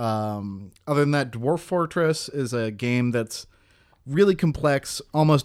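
A man talks at a moderate pace with ordinary pitch variation. He has a plain, everyday voice. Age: 20s. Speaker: indie game developer and podcast co-host. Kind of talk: casual chat.

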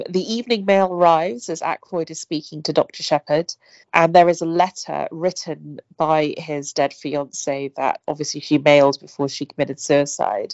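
A woman speaks in a very deep, low voice. Her pace is moderate and her pitch varies in an ordinary way. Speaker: podcast host. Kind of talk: casual chat about a book.

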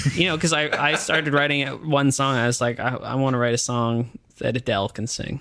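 A man talks at a fairly quick pace with hardly any pauses. He has an unremarkable speaking voice with ordinary pitch variation. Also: medium pitch for a man. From Ottawa, Canada. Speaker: musician, singer-songwriter. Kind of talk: casual interview chat. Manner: casual, hedging, many filler words.

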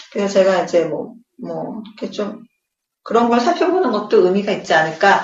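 A woman's fairly high voice at a moderate pace, with very wide pitch swings and audible room echo. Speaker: podcast co-host, expectant mother. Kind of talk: casual chat.

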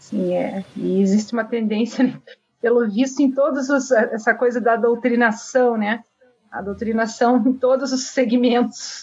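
At a fairly slow pace, a woman talks in an ordinary speaking voice with fairly even intonation. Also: fairly high pitch for a woman. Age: 40s. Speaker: political candidate and live stream host. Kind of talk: interview on live stream. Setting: live stream.

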